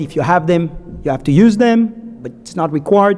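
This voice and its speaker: A man with a French accent, high pitch, lively intonation and a moderate pace, over noticeable background noise. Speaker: securities lawyer, conference speaker. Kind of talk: conference talk. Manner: halting.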